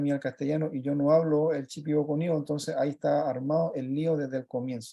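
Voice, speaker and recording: Monotone, flat intonation in a fairly high-pitched male voice. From Chile. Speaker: project facilitator working with children. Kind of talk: presentation talk on a video call. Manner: fast; halting, with many fillers.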